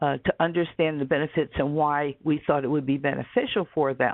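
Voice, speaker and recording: Speaking at a moderate pace, a woman uses a very deep, low voice with fairly even intonation. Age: 60s. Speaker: webinar presenter. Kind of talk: lecture. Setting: webinar.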